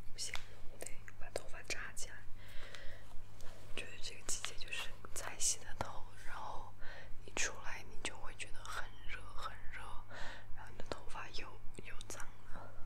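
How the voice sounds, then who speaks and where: Spoken at a moderate pace over loud background noise, the voice breaks off with long, frequent pauses. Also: woman. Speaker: ASMR creator. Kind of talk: casual talk to camera. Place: home room. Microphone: phone near.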